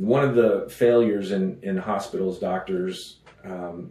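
Audible room echo around a man with a Texan accent and fairly even intonation. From West Texas. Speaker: pastor. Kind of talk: sermon. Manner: halting.

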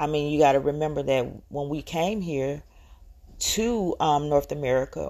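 A woman speaks at a moderate pace with vocal fry and a very deep, low pitch. The recording is very clean, with a silent background. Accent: strong Southern US. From US South, Georgia. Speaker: podcaster. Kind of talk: solo rant. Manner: hesitant, many filler words.

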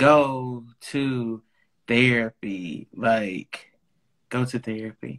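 In a dry, close recording with no echo, a man speaks very slowly, leaving long, frequent pauses. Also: medium pitch for a man, ordinary pitch variation. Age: 30s. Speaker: podcast guest. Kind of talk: casual chat.

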